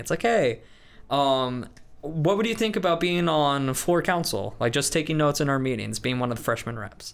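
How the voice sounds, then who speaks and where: A man with a normal speaking voice and an American accent, fairly quick in pace, ordinary in pitch variation, in a very clean recording with a silent background. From US Midwest, Des Moines, Iowa. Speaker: student body president, music student. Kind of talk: interview.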